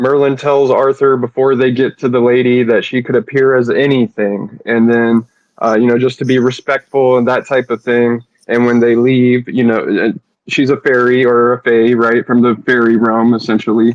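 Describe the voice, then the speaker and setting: Very even in loudness, a man's medium-pitched voice stays in a flat monotone. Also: moderate pace. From Carolinas, US South. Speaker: audience participant. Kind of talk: casual chat. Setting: online audio space.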